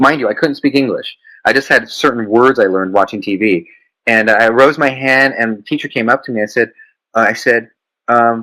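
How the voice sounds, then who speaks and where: Over music in the background, a man talks at a fairly quick pace and a medium pitch, with ordinary pitch variation. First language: Mandarin Chinese. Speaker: business founder. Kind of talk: interview.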